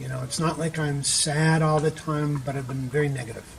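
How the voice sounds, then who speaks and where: There is noticeable background noise behind this man's fairly even intonation. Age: 60s. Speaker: retreat participant sharing depression recovery. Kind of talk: interview testimony. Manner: hesitant with many fillers.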